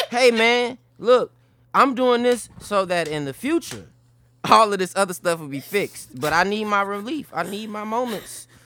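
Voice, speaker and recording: A man with an American accent speaks in a raised, projected voice, high-pitched with a bright, sharp tone and lively intonation. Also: moderate pace. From Chicago. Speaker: comedian and writer. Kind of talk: casual chat. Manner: joking, casual.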